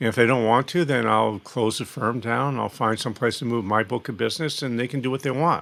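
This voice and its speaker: A man with a medium pitch and vocal fry speaks at a fairly quick pace, with hardly any pauses and ordinary pitch variation. The recording is very clean, with a silent background. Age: 60s. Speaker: financial planning consultant and author. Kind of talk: podcast interview.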